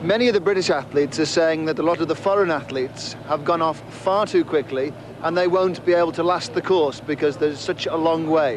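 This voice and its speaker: With hardly any pauses, a man talks at a fairly quick pace and fairly high pitch, keeping very even loudness and ordinary pitch variation over noticeable background noise. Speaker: race commentator and interviewer. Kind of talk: live commentary.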